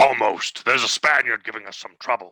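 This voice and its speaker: A put-on character voice growls at a fairly quick pace, recorded dry and close with no echo. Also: man. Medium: stage play.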